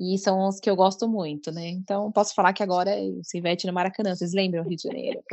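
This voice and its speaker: At a very fast pace with hardly any pauses, a woman speaks with fairly even intonation. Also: medium pitch for a woman. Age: 30s. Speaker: coworking space manager and fan. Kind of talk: casual chat.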